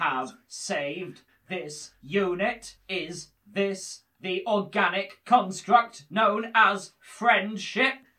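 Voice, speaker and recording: A put-on, robotic character voice at a middle pitch and a very slow pace. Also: female-sounding voice. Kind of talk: comic robot voice. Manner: stiff, monotone, formal.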